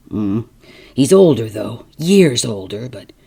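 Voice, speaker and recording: This put-on character voice is low-pitched and raspy, delivered at a fairly slow pace. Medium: read story. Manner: forcible and earnest.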